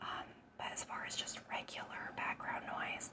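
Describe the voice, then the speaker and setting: A woman whispering in a soothing tone at a fairly slow pace. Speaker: ASMR eating creator. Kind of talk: casual talk to camera. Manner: whispered, soothing. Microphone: lapel.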